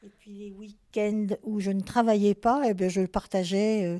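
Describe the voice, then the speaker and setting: A woman with a medium pitch and a dark, mellow tone talks at a fairly slow pace with fairly even intonation. The recording is very clean, dry and close, with a silent background and no echo. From Lorraine, France (Nancy area). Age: 70s. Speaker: retired nurse, seniors' club president. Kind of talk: interview. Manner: hesitant, many fillers.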